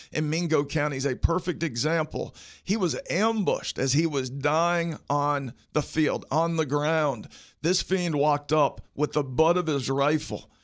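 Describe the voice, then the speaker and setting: In a West Virginia accent, a man with a fairly high pitch speaks with fairly even intonation in a very clean recording with a silent background. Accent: West Virginia Appalachian. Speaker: politician. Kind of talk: interview, campaign pitch. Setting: studio.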